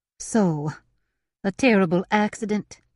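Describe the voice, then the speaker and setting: A put-on character voice at a middle pitch speaks at a fairly slow pace. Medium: read story. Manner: warm, cooing.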